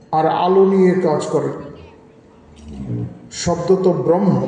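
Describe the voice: In a room with strong echo, a man with a high pitch and a dark, mellow tone speaks at a fairly slow pace with ordinary pitch variation.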